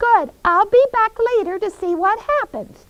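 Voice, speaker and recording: The voice is a squeaky, put-on character voice with lively intonation. It moves at a moderate pace. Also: woman, extremely high pitch for a woman. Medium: puppet show. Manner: fussy, exclaiming.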